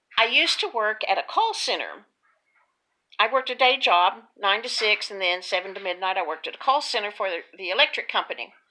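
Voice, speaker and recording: With lively intonation and big swings in loudness, a woman speaks at a medium pitch in a bright, sharp tone. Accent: Texas. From Texas. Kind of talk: casual talk to camera. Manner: chatty, folksy.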